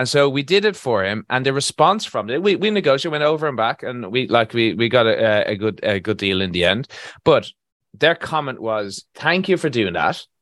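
A man with an Irish accent, medium pitch, very wide pitch swings and a fairly quick pace. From Ireland, Galway. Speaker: construction contracts consultant. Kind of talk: casual interview.

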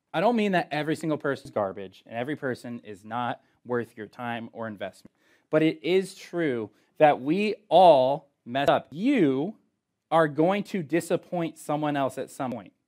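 On a very clean recording with a silent background, a man with an unremarkable speaking voice talks at a moderate pace and fairly high pitch. His intonation is lively, with big swings in loudness. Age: 20s. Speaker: youth pastor. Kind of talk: youth group sermon. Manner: casual, conversational.

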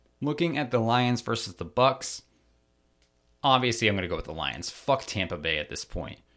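A man's medium-pitched, bright, sharp voice with vocal fry and an American accent, very wide pitch swings and a moderate pace, in a very clean recording with a silent background. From Maryland, US. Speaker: sports podcast host. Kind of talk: solo podcast commentary. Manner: animated.

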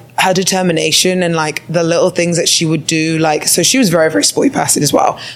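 A woman speaks over noticeable background noise. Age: 20s. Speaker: podcast co-host, bodybuilder. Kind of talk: casual chat. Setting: stage with audience.

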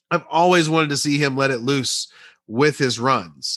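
A man's unremarkable speaking voice at medium pitch, moderate pace and ordinary pitch variation. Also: quiet background. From Central Texas, small town. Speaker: sports podcast host. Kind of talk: solo sports commentary podcast.

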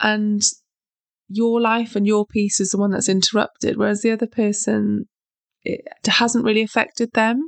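A woman with a British accent speaks at a fairly high pitch in a monotone, flat delivery with very even loudness, a moderate pace, and long, frequent pauses, the sound dry and close with no echo. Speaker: self-help podcast host. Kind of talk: motivational monologue.

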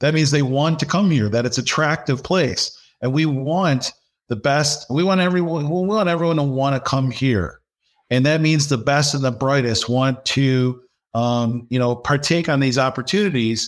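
On a very clean recording with a silent background, a man with a Midwestern American accent talks at a moderate pace in a fairly high pitch, with ordinary pitch variation and very even loudness. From Michigan, US (Dearborn). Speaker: business professor. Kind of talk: podcast interview.

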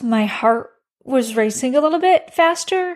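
A woman with an American accent speaks at a fairly slow pace in a high pitch, her intonation lively, on a very clean recording with a silent background. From US Midwest, Chicago. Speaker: health coach and podcast host. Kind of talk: personal monologue podcast.

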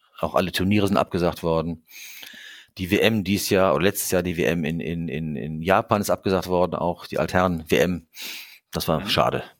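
Long, frequent pauses break up this man's speech. His pitch is very deep and low. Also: fairly even intonation, moderate pace, very clean recording, silent background. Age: 60s. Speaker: consulting firm co-founder and management coach. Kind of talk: casual interview. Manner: halting, many repetitions.

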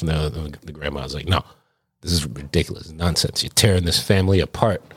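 Speaking at a very fast pace, a man with an American accent has a very deep, low pitch. The recording is very clean, with a silent background. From New York City (Brooklyn, Jersey City). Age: 40s. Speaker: podcast co-host, bartender. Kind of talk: casual chat.

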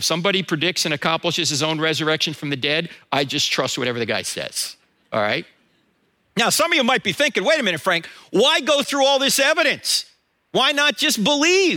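In an American accent, a man speaks at a fairly quick pace in a raised, projected voice, high-pitched with a bright, sharp tone and very wide pitch swings. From New Jersey. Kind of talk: sermon. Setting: church. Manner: fast.

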